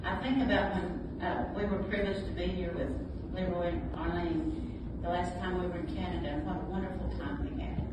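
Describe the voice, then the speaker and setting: The speech runs at a very fast pace. Loud background noise and audible room echo surround it. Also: woman. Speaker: pastor's widow. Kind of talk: testimony. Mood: warm, reflective. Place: hall.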